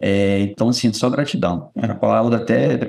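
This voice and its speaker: A man with a dark, mellow tone and vocal fry speaks at medium pitch with ordinary pitch variation. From Brazil, Espírito Santo (Vitória). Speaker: company administrative supervisor. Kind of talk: casual interview about life story.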